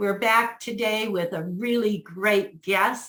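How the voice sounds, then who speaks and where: A woman speaks in a plain, everyday voice at a medium pitch. Her intonation stays fairly even and her pace is fairly slow. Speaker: podcast host. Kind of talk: show introduction.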